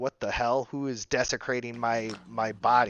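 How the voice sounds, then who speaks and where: Using a put-on character voice, a man sounds shrill at a medium pitch. He moves at a moderate pace. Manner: indignant, outraged.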